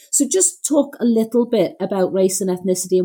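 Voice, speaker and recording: A woman's dark, mellow tone with very wide pitch swings. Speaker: podcast host and doctor. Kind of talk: interview, warm conversation. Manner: enthusiastic, complimentary.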